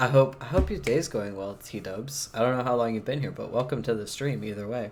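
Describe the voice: The clip is a plain reading aloud with ordinary pitch variation.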